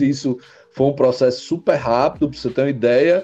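A man's dark, mellow tone with lively intonation. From northeastern Brazil, Mossoró, Rio Grande do Norte. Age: 30s. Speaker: entrepreneur. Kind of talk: interview conversation. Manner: halting, with frequent word repetitions.

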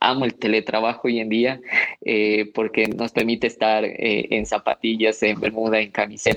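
At a moderate pace, a man speaks with monotone, flat intonation and very even loudness. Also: medium pitch for a man. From Loja, Ecuador. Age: young. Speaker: social entrepreneur. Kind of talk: radio interview.

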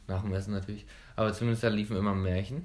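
A man talks with a Berlin accent at a fairly low pitch. His intonation is fairly even, and audible room echo surrounds him. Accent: colloquial dialect, saying dit and wat. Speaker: podcast host and dental student. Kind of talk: casual chat.

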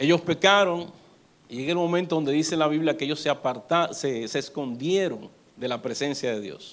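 Fairly high in pitch, a man's voice moves at a moderate pace with ordinary pitch variation. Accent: Dominican. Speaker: pastor. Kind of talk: sermon.

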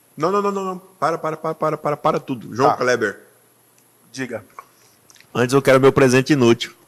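A man's animated, fairly quick delivery with ordinary pitch variation and long, frequent pauses. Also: fairly high pitch for a man. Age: 30s. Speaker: podcast host and pastor. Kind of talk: casual chat.

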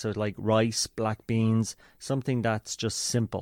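A man with an Irish accent, heard in a dry, close sound with no echo. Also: very clean recording, silent background. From Ireland. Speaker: running coach. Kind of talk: interview.

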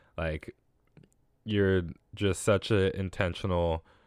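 In a very clean recording with a silent background, a man with an American accent speaks very slowly in a monotone, flat voice, the sound dry and close with no echo. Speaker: podcast host. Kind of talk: casual solo monologue giving thanks.

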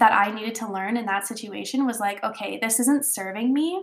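Somewhat breathy and animated, a woman speaks at a fairly high pitch with ordinary pitch variation. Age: 30s. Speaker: podcast host and personal development coach. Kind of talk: motivational solo talk.

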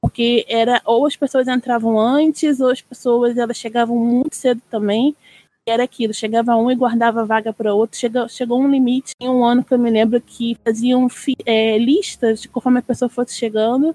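A woman's high voice with a dark, mellow tone, flat monotone delivery, moderate pace and hardly any pauses. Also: very even loudness, dry, close sound with no echo. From Brazil, Rio de Janeiro. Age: 30s. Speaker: cosplayer and seamstress. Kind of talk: casual chat.

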